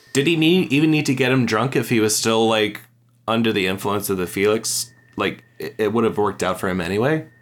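A man speaks at a fairly quick pace and a medium pitch. He has an ordinary speaking voice. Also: ordinary pitch variation. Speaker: podcast guest. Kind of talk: casual chat.

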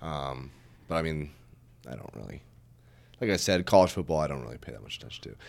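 Very fast yet broken by long, frequent pauses, a man with a very deep, low pitch and vocal fry speaks with lively intonation and big swings in loudness. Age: 20s. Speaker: guest, friend of the hosts. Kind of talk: casual chat.

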